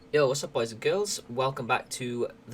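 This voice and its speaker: Speaking quietly and fairly quickly, a man is heard over noticeable background noise. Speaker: podcast host and streamer. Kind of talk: casual chat. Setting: at home.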